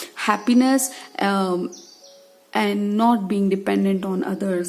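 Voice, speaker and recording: Noticeable background noise sits behind a woman at medium pitch. She talks at a very slow pace with fairly even intonation. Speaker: tarot reader. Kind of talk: tarot reading talk to camera.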